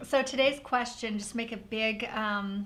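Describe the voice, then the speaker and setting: A woman's fairly high voice with vocal fry and audible room echo. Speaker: paper craft designer and channel host. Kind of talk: live craft stream chat. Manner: fast; animated.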